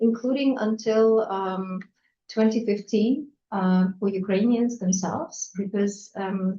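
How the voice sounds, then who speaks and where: Her voice is medium in pitch, somewhat breathy and dark and mellow in tone. The woman speaks very slowly with fairly even intonation. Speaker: moderator and chairperson of cultural house. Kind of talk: panel discussion moderation.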